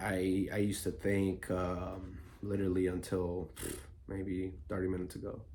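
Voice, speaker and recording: A man speaks quietly at a moderate pace in a very deep, low voice with a dark, mellow, somewhat breathy tone. His intonation is flat and monotone, and room echo is audible. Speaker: vlogger. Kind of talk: personal vlog monologue. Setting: at home early morning. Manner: quiet, low voice; halting, many fillers.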